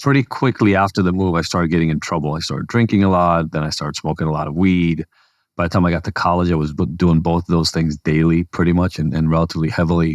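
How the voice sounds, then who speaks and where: Talking at a very fast pace, a man with a very deep, low pitch keeps his intonation fairly even, and the sound is dry and close with no echo. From Israel. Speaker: addiction treatment CEO and psychologist. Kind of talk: interview.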